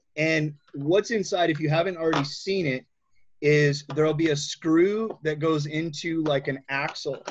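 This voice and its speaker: Here a man talks in a plain, everyday voice at a fairly high pitch and moderate pace, with fairly even intonation. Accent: American. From Michigan. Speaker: wheelchair skills instructor. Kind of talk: tutorial.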